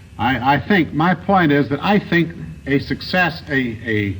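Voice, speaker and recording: Noticeable background noise behind a man's fairly high voice with an American accent. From United States. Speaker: senator being interviewed on a news panel show. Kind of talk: television interview answer.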